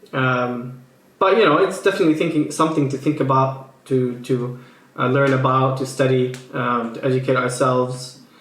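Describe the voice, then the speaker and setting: A man's fairly high voice with audible room echo. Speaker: political commentary YouTuber. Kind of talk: casual commentary reacting to tweets. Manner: hesitant, many fillers and restarts.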